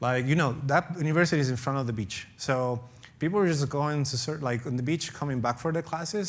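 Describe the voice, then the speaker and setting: A man with a non-native accent talks fairly quickly in a fairly high pitch, with audible room echo. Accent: foreign. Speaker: professor. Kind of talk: conference talk Q&A.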